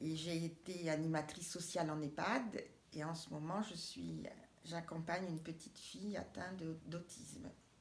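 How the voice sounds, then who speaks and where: With audible room echo, a woman speaks in a somewhat breathy voice at a fairly low pitch, her intonation fairly even. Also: moderate pace. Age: 60s. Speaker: cooperative housing project member. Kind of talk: interview. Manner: halting.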